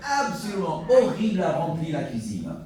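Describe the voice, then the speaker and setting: At a very slow pace, a man with an American accent talks through noticeable background noise and audible room echo. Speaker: pastor. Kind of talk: sermon. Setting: church.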